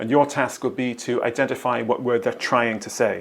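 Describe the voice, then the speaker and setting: In a normal speaking voice, a man talks at a fairly quick pace and medium pitch with fairly even intonation. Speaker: transcription trainer. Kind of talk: instructional narration.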